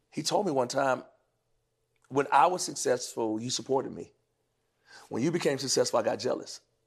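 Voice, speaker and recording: A man with an American accent, a fairly quick pace and long, frequent pauses, against a quiet background. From North Carolina. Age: 40s. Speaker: gospel singer. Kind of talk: casual chat.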